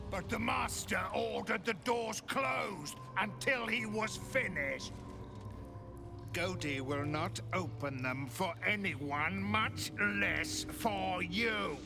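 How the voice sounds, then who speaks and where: A man puts on a cartoonish character voice, fairly high-pitched and delivered at a fairly slow pace. Loud music plays in the background. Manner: gloating, speaks of herself in third person.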